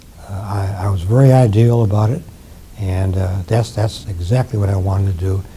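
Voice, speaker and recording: A man's fairly low voice with fairly even intonation, amid noticeable background noise. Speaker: retired professor of ophthalmology and physiology, war veteran. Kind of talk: interview answer.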